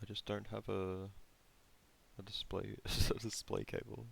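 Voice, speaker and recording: A mumbling man at a moderate pace. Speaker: game developer streamer. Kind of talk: live stream casual talk. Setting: live stream. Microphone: too quiet.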